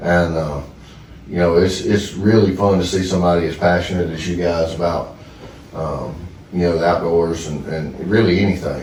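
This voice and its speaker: In a Southern US accent, a man with a very deep, low voice talks at a moderate pace with fairly even intonation, surrounded by audible room echo and noticeable background noise. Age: 30s. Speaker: duck hunting land owner. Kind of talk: casual chat.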